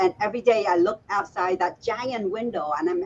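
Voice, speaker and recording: A woman with a fairly high pitch speaks at a moderate pace, somewhat breathy. Her pitch swings very widely. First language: Chinese or Vietnamese. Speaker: author and speaker. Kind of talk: interview conversation.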